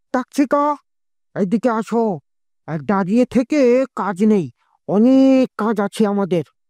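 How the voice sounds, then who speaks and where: A cartoonish character voice sounds female, at a fairly high pitch and a fairly slow pace. The recording is very clean, with a silent background. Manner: deferential.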